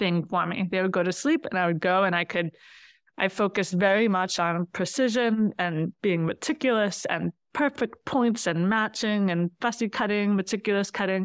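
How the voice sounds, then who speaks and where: An unremarkable speaking voice, a woman talks at a moderate pace and medium pitch with ordinary pitch variation, very even loudness, and a dry, close sound with no echo. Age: 40s. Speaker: quilter. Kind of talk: casual chat.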